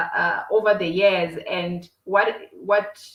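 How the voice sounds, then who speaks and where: This woman has a South African accent. Her pitch is fairly high. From South Africa, Limpopo province. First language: Xitsonga. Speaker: entrepreneur. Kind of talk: podcast interview. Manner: halting, many repetitions.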